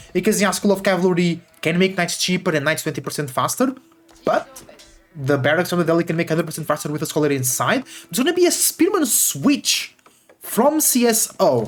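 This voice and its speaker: The speech runs fairly quickly, with music in the background. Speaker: esports caster. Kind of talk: live commentary. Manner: animated.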